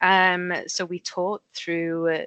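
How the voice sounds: Slow speech with little pitch movement comes through in a fairly bright, clear, smooth tone, with a dry, close sound and no echo. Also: woman, fairly low pitch for a woman.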